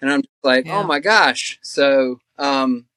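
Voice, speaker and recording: A very slow man with a medium pitch, a bright, sharp tone and an American accent, recorded very clean with a silent background and a dry, close sound with no echo. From North Carolina. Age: 40s. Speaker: hiker. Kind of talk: casual interview. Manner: halting, many fillers.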